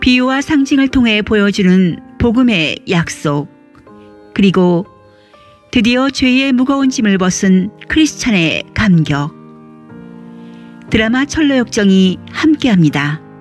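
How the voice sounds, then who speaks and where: A woman talks at a very slow pace with long, frequent pauses, her fairly high voice making very wide pitch swings at a very even loudness while music plays in the background. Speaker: audio drama storyteller.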